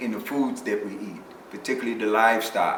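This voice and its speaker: With an American accent, a man speaks at a moderate pace with ordinary pitch variation against noticeable background noise. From Chicago. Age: 60s. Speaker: bodybuilder. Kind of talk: interview answer.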